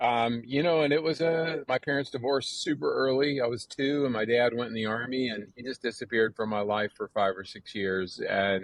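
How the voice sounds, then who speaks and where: With an American accent, a man talks at a fairly quick pace with hardly any pauses, at a medium pitch and with ordinary pitch variation. He has an ordinary speaking voice. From US South, North Carolina. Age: 60s. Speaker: recovering addict, runner. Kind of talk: podcast interview. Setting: outdoors on front porch.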